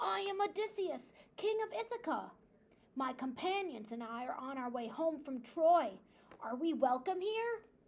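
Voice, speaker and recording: A woman puts on a character voice pitched high. She swings her pitch very widely while keeping a moderate pace. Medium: read story.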